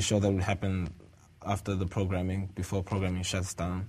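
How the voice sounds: A man's low-pitched voice with a slightly mellow tone and a South African accent.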